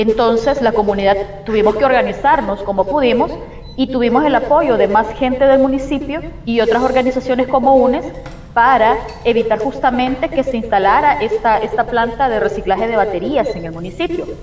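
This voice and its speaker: A woman with a high pitch at a fairly quick pace, with audible room echo and light background noise. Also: ordinary pitch variation. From El Salvador. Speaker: community environmental activist. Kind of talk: interview testimony. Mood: calm, earnest. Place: home room. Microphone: video call.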